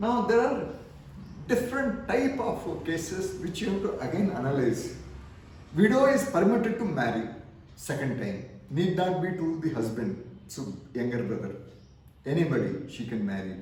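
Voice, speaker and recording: Through audible room echo and noticeable background noise, a man with a high-pitched voice speaks at a moderate pace, his pitch swinging very widely, with long, frequent pauses. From India. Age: 70s. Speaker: retired army officer and pension mentor. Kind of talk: lecture. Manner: repetitive, halting.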